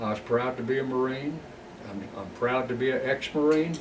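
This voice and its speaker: In audible room echo, a man with a South Carolina accent talks at a moderate pace, his medium pitch showing ordinary variation. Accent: Southern US (South Carolina). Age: 80s+. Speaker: war veteran. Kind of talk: oral history interview. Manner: halting.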